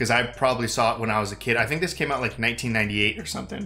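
A man speaks. Faint music plays behind him. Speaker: reaction channel host. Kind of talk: casual vlog chat.

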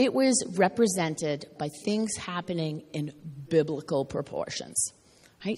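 Noticeable background noise sits behind speech that unfolds at a fairly slow pace. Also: woman. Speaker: preacher. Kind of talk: sermon.

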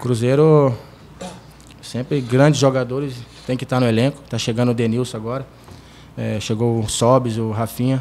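Speaking at a moderate pace, a man with a medium-pitched voice uses monotone, flat intonation and takes long, frequent pauses. Light background noise can be heard. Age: 20s. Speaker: football goalkeeper. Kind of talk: press conference. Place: meeting room. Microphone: podium.

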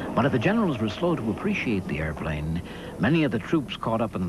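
A fairly low male voice with very wide pitch swings at a fairly quick pace, over noticeable background noise. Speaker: narrator. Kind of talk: documentary narration.

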